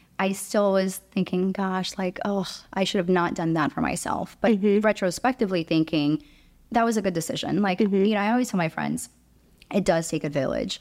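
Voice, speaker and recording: A woman's medium-pitched, unremarkable speaking voice, at a fairly quick pace with ordinary pitch variation, on a very clean recording with a silent background. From Romania, raised in Chicago from age eight. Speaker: working mother. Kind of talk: podcast interview.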